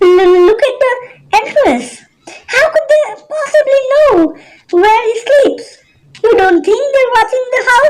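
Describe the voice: A put-on character voice, female-sounding and squeaky, at an extremely high pitch, moderate pace, with long, frequent pauses.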